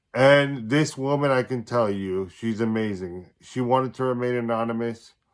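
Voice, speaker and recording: A man speaks at a medium pitch and a fairly slow pace. He has a plain, everyday voice. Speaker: life coach. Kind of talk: casual talk to camera.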